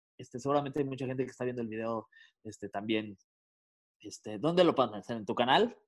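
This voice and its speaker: Speaking at a fairly quick pace, a man takes long, frequent pauses. His loudness swings widely. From Mexico City. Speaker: radio and podcast host. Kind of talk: casual chat.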